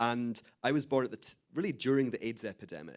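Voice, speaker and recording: The recording is very clean, and the background is silent. A man talks in a Scottish accent. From Scotland, Glasgow. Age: 30s. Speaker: author and Holocaust educator. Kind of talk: interview talk.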